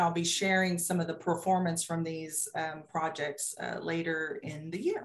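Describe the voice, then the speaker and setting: A woman's plain, everyday voice, fairly low in pitch, at a fairly slow pace with fairly even intonation. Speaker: state agency program official. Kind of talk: video-call committee meeting presentation. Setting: video call.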